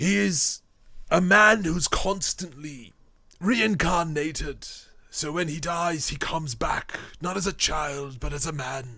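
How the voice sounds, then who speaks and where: In a put-on character voice, a man talks at a fairly slow pace with a fairly high pitch. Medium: actual play. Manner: polite, earnest.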